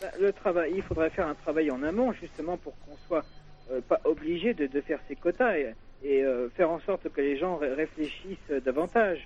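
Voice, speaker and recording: A man speaks at a moderate pace in a fairly high voice, his pitch rising and falling in an ordinary way. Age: 30s. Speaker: caller. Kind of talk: call-in debate.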